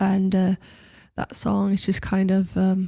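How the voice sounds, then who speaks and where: A woman speaks at a moderate pace in a medium pitch with a dark, mellow tone. The recording is very clean, with a silent background. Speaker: singer-songwriter. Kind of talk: radio interview. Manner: hesitant, many fillers.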